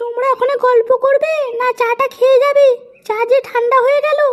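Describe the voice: Using a cartoonish character voice, a woman talks at a moderate pace, her pitch extremely high and her intonation flat and monotone.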